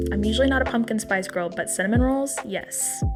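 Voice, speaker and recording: A woman speaking with music in the background. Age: 20s. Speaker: home baker and vlogger. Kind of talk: tutorial voiceover. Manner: casual.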